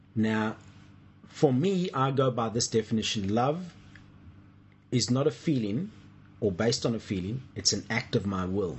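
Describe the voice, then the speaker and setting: With lively intonation and a somewhat breathy voice, a man speaks with long, frequent pauses. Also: medium pitch for a man, moderate pace. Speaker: co-host, church minister or teacher. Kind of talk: casual discussion of faith, teaching.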